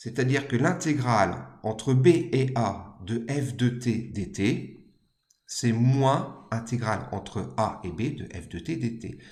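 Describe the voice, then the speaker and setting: Against audible room echo, a man with a medium pitch and a somewhat breathy voice speaks at a very slow pace, with ordinary pitch variation and big swings in loudness. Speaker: maths teacher. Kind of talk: lecture.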